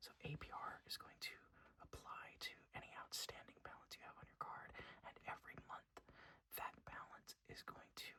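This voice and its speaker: Whispering from a man at a moderate pace. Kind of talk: ASMR whisper ramble. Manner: whispered, soft-spoken.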